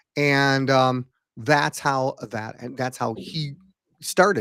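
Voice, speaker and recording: A man speaks with a fairly high pitch at a fairly slow pace. The recording is very clean, with a silent background and a dry, close sound with no echo. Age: 60s. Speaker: hypnotist and former puppeteer. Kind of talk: casual chat. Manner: halting.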